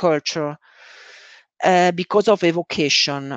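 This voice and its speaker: With an Italian accent, a woman speaks at a fairly slow pace against a quiet background, the sound dry and close with no echo. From Italy. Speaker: scrum master. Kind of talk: conference talk. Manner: halting, many fillers.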